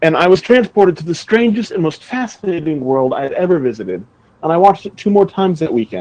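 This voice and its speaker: Talking very fast, a man with an American accent uses a high pitch. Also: lively intonation. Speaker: movie podcast co-host. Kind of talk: casual chat.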